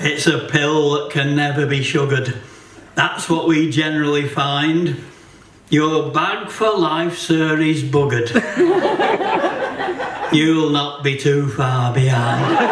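Against loud background noise, a man talks at a very slow pace with long, frequent pauses. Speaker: poet. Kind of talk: comic poetry reading at a folk gathering. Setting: live performance in a hotel venue. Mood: wry, deadpan humour.

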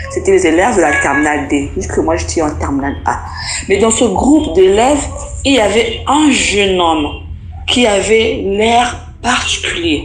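A woman talks fairly slowly while noticeable background noise is heard. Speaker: storyteller sharing a personal experience. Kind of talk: testimony.

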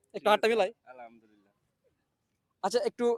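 The man's pitch is extremely high, and the sound is dry and close with no echo. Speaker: street video host running a cash game. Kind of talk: street interview game show.

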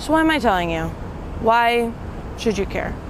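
Dry with no echo and with light background noise, a woman's high voice runs at a moderate pace. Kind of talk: casual vlog chat. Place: waterside.

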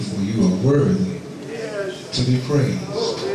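Amid strong room echo and noticeable background noise, a man speaks at a very slow pace. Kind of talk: prayer. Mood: reverent, fervent. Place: church.

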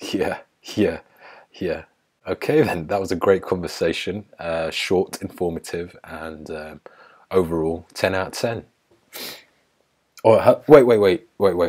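An English accent at a fairly slow pace, with big swings in loudness and long, frequent pauses. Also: man, very deep, low pitch for a man, ordinary pitch variation, quiet background. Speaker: YouTuber. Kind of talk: casual chat. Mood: joking, playful. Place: home room. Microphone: earbuds.

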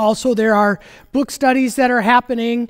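The background is quiet. A man is speaking. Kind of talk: welcome and announcements, then liturgy. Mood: warm, welcoming. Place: church. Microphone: headset.

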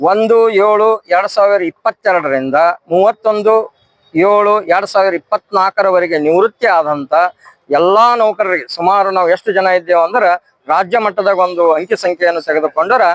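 Recorded dry and close with no echo, a man speaks at a high pitch with ordinary pitch variation. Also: very even loudness. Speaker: retired teacher, pensioners' association organiser. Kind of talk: protest statement to the press.

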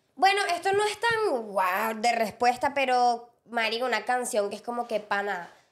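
A woman's high-pitched, animated voice with lively intonation, at a fairly slow pace against a quiet background. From Venezuela, Llanos region; Venezuela. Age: 20s. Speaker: podcast co-host and content creator; podcast co-host, content creator. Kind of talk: casual chat. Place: studio. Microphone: studio mic.

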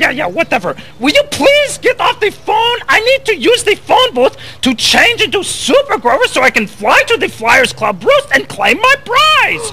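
An extremely high, cartoonish character voice speaks at a moderate pace over clear background noise. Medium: puppet show. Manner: impatient, excitable.

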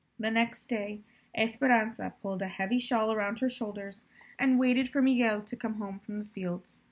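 Just plain reading aloud

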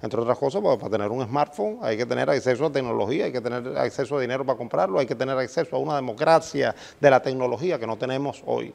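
A man with vocal fry and a medium pitch races along at a very fast pace with hardly any pauses and ordinary pitch variation. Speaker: journalism professor and dean. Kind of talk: interview.

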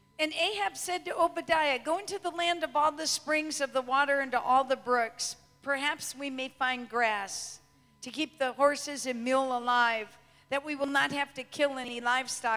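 In a raised, projected voice with a bright, sharp tone, someone speaks at a moderate pace with ordinary pitch variation. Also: woman. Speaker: preacher. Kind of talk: sermon. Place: church. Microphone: handheld.

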